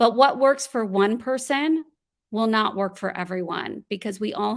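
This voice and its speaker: In an ordinary speaking voice, a woman talks at a moderate pace with ordinary pitch variation, on a very clean recording with a silent background. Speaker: voiceover artist and voice coach. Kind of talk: podcast interview answer.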